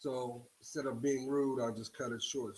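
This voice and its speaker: This man's voice sits at a medium pitch with a monotone, flat intonation. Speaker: spiritual video blogger. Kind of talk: casual monologue to viewers. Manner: halting.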